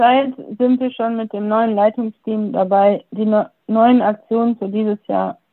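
With a fairly high pitch, a woman talks at a fairly slow pace. Her intonation is monotone and flat. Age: 20s. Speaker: youth group deputy leader. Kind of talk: casual self-introduction. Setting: video call.

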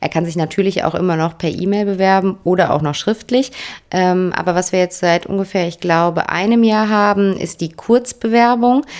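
A woman with an unremarkable speaking voice, medium pitch, ordinary pitch variation and a moderate pace. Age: 30s. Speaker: HR manager at a franchise company. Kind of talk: podcast interview.

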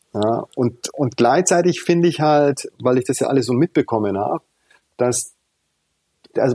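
Dry and close with no echo, a man's medium-pitched voice carries a dark, mellow tone, moving at a moderate pace with ordinary pitch variation. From Tanzania until 12, then Munich. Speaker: founder of a children's charity, former jazz trumpeter. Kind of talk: interview.

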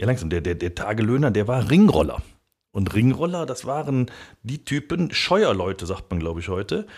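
On a very clean recording with a silent background, a man speaks at a moderate pace. His pitch sits at medium level but swings very widely. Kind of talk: casual chat.

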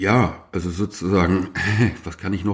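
Slowish and fairly low-pitched, a man talks in an unremarkable speaking voice. The recording is very clean, with a silent background. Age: 50s. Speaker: journalist and author. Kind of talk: casual chat.

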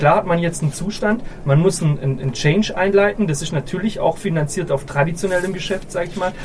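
At a fairly quick pace and with ordinary pitch variation, the speech comes through audible room echo and noticeable background noise. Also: man, high pitch for a man. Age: 30s. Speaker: company owner and managing director. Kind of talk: live panel conversation. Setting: live at a conference summit. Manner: halting, many repetitions.

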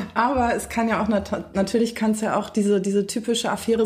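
Moderate pace amid noticeable background noise. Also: woman. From Berlin, Germany. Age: 20s. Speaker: social work student. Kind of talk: casual chat. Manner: loud.

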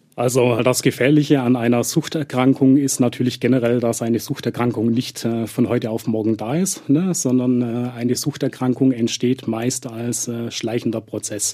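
His intonation holds mostly level. The man's pitch lands in the middle range. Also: moderate pace. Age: 40s. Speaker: addiction therapist. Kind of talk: expert interview. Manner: frequent filler hesitations.

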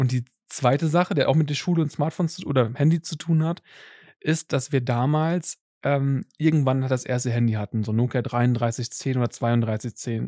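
A man's medium-pitched voice, dark and mellow in tone, with ordinary pitch variation and a dry, close sound free of echo. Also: moderate pace. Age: 30s. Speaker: tech podcast host. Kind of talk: casual chat.

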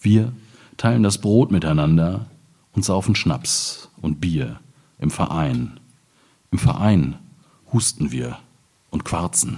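A man talks at a very slow pace with long, frequent pauses, his very deep, low pitch swinging very widely. His tone is dark and mellow, with vocal fry. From Ruhr area, eastern edge near Hamm. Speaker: poet. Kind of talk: reading aloud; public conversation.

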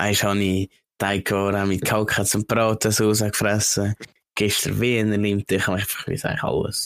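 In a dry, close recording with no echo, a man with a Swiss accent talks at a moderate pace and a fairly low pitch, his intonation monotone and flat and his loudness very even. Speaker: podcast co-host. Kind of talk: casual chat.

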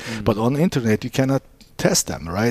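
Recorded dry and close with no echo, a man speaks in a dark, mellow tone with ordinary pitch variation. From Istanbul, Turkey. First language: Turkish. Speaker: business founder. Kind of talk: interview. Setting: in his store. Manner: halting.

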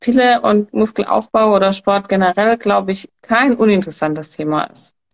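A woman talks in an ordinary speaking voice at medium pitch and a fairly quick pace. The sound is dry and close, with no echo. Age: young. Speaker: hormone coach. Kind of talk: expert talk.

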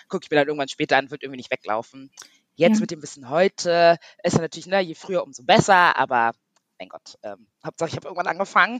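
This woman talks at a very fast pace with lively intonation. Her pitch is fairly low. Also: big swings in loudness, dry, close sound with no echo. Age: 30s. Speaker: online beauty industry worker, course participant. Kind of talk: interview. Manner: hesitant, many fillers.

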